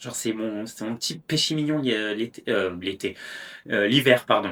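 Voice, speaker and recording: The voice has a bright, sharp tone, ordinary pitch variation and a fairly slow pace, on a very clean recording with a silent background. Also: man, medium pitch for a man. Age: 20s. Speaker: podcast host. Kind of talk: casual monologue. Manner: hesitant, many fillers.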